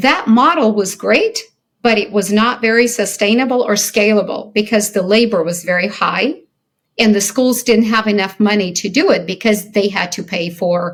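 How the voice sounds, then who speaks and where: A woman with an American accent talks at a moderate pace with ordinary pitch variation. Her voice is somewhat breathy. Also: medium pitch for a woman. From Soviet Ukraine, then US childhood. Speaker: company founder and CEO. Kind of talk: interview.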